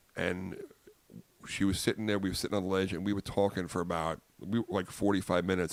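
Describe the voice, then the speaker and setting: Very fast speech comes from a man with a very deep, low voice and a Long Island accent. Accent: Long Island New York. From US Northeast, Long Island, New York. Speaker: comedian. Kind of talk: casual chat. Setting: podcast studio with headsets. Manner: animated.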